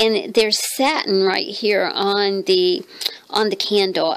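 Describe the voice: A woman speaks slowly in a medium pitch. Her tone is fairly bright and croaky.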